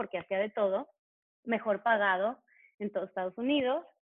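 This woman has an ordinary speaking voice, a fairly high pitch and ordinary pitch variation. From Mexico. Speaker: tap dance teacher and choreographer. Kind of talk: interview conversation.

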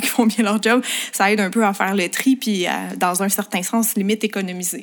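Over noticeable background noise, a woman speaks at a fairly quick pace. Her pitch is medium and her intonation fairly even. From Quebec, Montreal. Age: 20s. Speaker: makeup artist and beauty influencer. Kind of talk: casual interview chat.

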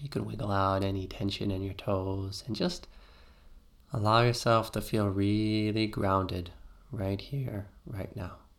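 At a fairly slow pace, a man speaks in an unremarkable speaking voice with fairly low pitch and fairly even intonation. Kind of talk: guided meditation. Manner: slow, soothing, calm and gentle; rhythmic, repetitive, with long pauses.

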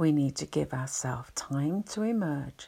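A woman's very deep, low, somewhat breathy voice in a soothing tone at a very slow pace, on a very clean recording with a silent background. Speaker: anxiety relaxation channel host. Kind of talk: soothing spoken explanation with story. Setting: home recording, quiet house. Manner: slow, calming soothing delivery.

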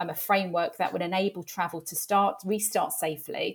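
Speaking with a London accent, a woman keeps a moderate pace, medium pitch and fairly even intonation. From North London. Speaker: travel industry executive. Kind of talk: interview.

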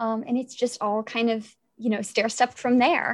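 A woman speaks with a fairly high pitch and fairly even intonation. Hers is a plain, everyday voice. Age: 20s. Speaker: WordPress projects manager. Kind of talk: casual chat.

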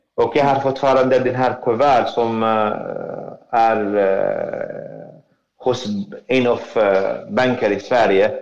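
In a room with audible echo, a man with an Arabic accent speaks at a very slow pace and very even loudness. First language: Arabic (speaking Swedish). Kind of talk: testimony. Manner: halting.

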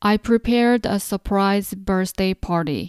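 A woman speaks very slowly with a Korean accent. The recording is very clean and silent in the background, with a dry, close sound with no echo. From South Korea. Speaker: podcast host and Korean language teacher. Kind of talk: language lesson; scripted narration of newsletter.

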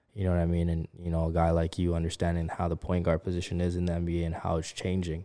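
Hardly pausing, a man speaks at a very fast pace with a very deep, low pitch, a dark, mellow tone, monotone, flat intonation and very even loudness, on a very clean recording with a silent background. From Canada. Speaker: podcast host. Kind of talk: casual interview.

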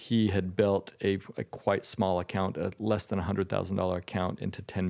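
Vocal fry at a fairly quick pace with an American accent, flat monotone intonation, in a very clean recording with a silent background. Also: man. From Utah. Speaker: hedge fund manager. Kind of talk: interview. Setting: in person at guest's home state.

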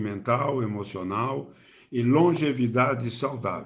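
Audible room echo surrounds speech delivered at a very slow pace with ordinary pitch variation. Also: man. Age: 70s. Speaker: theatre actor and poet. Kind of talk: self-introduction.

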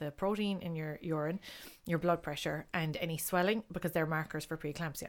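Speaking at a fairly quick pace in a Kerry accent, the voice stays monotone and flat on a very clean recording with a silent background. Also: woman. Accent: Kerry Irish. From Ireland, Castlegregory, County Kerry. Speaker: artist and mother. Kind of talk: casual chat.

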